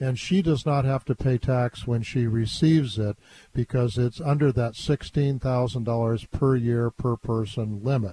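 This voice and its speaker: In a dry, close recording with no echo, a man talks fairly slowly at a medium pitch, his somewhat breathy voice dark and mellow, with ordinary pitch variation and very even loudness. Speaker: guest host, elder law advisor. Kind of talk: call-in radio show. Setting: studio. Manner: casual, jokey.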